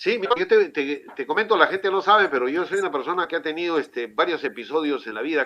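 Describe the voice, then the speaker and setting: A man with a fairly high voice speaks very fast, his intonation lively. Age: 60s. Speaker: city councillor. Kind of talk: interview. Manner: halting, many fillers. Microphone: connection problems.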